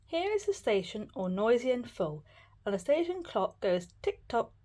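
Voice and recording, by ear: Written words are read aloud in a natural voice.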